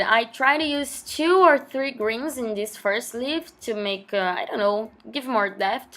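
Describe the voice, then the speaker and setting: Over noticeable background noise, a woman with a Portuguese accent speaks at a high pitch and a fairly slow pace. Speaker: journaling vlogger. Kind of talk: casual voiceover tutorial.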